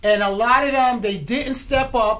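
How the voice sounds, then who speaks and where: Fairly high in pitch and animated in tone, a woman speaks at a fairly slow pace, with audible room echo. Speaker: writer and producer of a TV series. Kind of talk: casual interview chat. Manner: loud.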